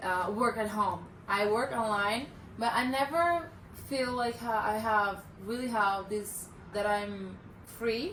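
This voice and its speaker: A woman with a Brazilian accent speaks at a fairly slow pace in a fairly high pitch. The room echo is audible, and background noise is noticeable. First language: Portuguese. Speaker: remote worker, travel partner. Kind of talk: casual interview. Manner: halting, searching for words.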